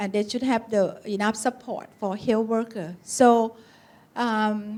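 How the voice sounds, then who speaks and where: A woman with a Thai accent speaks at a very slow pace, her pitch fairly high. Her intonation stays flat and monotone. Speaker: occupational medicine physician. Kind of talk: conference talk. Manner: halting.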